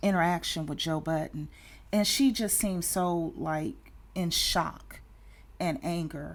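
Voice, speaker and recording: A woman with a Southern US accent, fairly low pitch, ordinary pitch variation and long, frequent pauses. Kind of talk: casual talk to camera.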